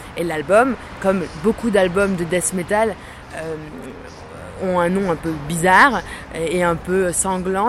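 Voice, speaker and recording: Audible room echo fills the recording. Noticeable background noise is also present. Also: woman. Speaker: composer and guitarist. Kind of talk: interview.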